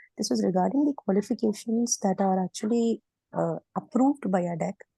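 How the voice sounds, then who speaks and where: Against a quiet background, a woman talks with a somewhat breathy, dark, mellow tone and lively intonation, the sound dry and close with no echo. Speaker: teacher seeking job. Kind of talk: question in online Q&A.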